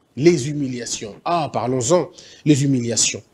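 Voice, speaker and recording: A man with an Équateur accent speaks at a fairly slow pace, his tone animated and his intonation lively. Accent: Équateur Lingala. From DR Congo, Équateur province. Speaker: motivational speaker. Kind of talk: motivational talk. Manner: animated, repetitive.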